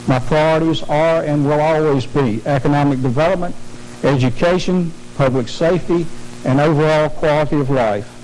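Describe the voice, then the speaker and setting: Over noticeable background noise and audible room echo, a man with a Virginia accent speaks at a moderate pace in a fairly high pitch with ordinary pitch variation. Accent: southern US (Virginia Piedmont). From southern Virginia, US South. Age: 60s. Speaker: political candidate, county supervisor. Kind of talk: debate opening statement. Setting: TV studio debate.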